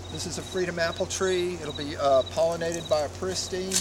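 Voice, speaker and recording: A man talks at a moderate pace. The audio has audible room echo and noticeable background noise. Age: 60s. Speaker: fruit grower. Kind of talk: casual walkthrough tutorial. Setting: outdoors. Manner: halting, many fillers.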